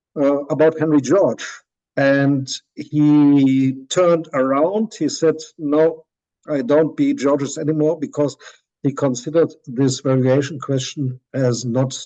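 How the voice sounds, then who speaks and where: With a German accent, a man talks at a fairly slow pace in a fairly high voice, his intonation fairly even and his tone dark and mellow. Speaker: professor. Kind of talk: lecture. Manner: halting.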